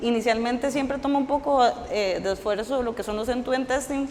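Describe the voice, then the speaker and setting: A woman's fairly high voice with ordinary pitch variation, audible room echo and noticeable background noise. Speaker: software engineer giving a conference talk. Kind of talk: technical talk at a meetup.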